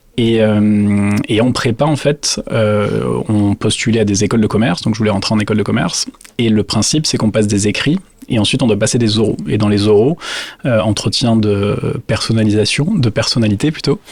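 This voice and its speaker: Noticeable background noise sits behind a man with a fairly low pitch and ordinary pitch variation. He holds a moderate pace at very even loudness. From southwestern France (Dax, Landes). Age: 30s. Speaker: business owner. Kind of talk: interview. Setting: factory visit.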